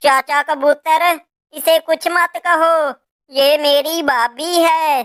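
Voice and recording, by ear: A cartoonish character voice, flat and monotone, very slow, with a dry, close sound and no echo. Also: woman, high pitch for a woman.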